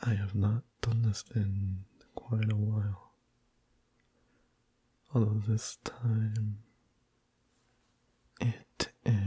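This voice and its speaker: The voice is soft-spoken and very slow. Long pauses come frequently. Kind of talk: casual talk to camera.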